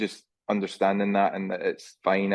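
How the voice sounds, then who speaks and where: The speaker talks at a fairly quick pace with a Scottish accent. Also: man. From Scotland. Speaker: junior golf coach. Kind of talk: interview answer.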